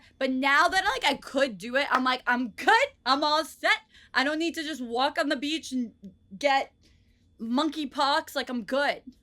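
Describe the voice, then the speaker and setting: In a raised, projected voice, a woman with an American accent speaks at a fairly slow pace, her high pitch bright and sharp in tone with ordinary pitch variation. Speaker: podcast co-host. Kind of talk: casual chat.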